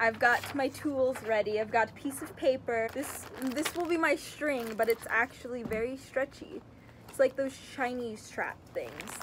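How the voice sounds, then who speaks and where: Over light background noise, a woman speaks at a fairly slow pace with a high pitch and ordinary pitch variation. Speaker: craft vlogger. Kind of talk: casual vlog chat. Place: garden. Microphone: phone near.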